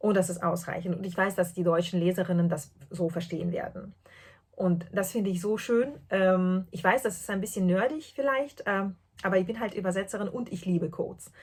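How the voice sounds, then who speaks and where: A somewhat breathy woman talks at a moderate pace with ordinary pitch variation. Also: medium pitch for a woman. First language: not German (speaking German). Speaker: podcast host, translator and knitter. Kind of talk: casual podcast monologue. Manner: hesitant, many fillers.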